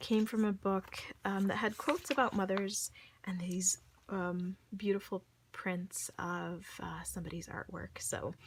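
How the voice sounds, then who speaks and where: At a fairly slow pace, a woman sounds somewhat breathy, with ordinary pitch variation. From Saudi Arabia. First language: Arabic (at one time). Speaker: crafter selling handmade journal kits. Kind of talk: casual product show-and-tell. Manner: hesitant, many fillers; enthusiastic.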